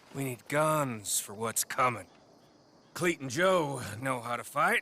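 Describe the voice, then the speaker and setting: Putting on a raspy character voice, a man speaks fairly slowly at a medium pitch with lively intonation. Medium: video game. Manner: sneering, needling.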